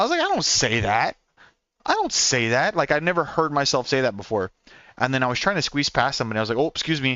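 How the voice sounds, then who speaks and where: Speaking at medium pitch with an American accent, a man keeps very even loudness and lively intonation. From Oklahoma, US. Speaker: gaming streamer. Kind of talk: casual chat. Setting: live stream while on the road. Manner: fast.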